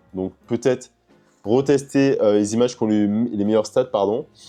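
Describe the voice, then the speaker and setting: Faint music plays behind a man speaking at a fairly quick pace. His voice is fairly low, with ordinary pitch variation. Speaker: e-commerce youtuber. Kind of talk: vlog tutorial. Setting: at home. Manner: fast; casual, filler-heavy. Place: home room.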